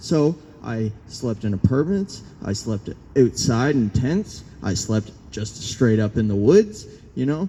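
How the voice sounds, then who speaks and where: Very slow speech from a man at medium pitch, with noticeable background noise. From Newfoundland, Canada. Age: 20s. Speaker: protest speaker. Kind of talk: public speech, personal testimony. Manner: conversational, many fillers.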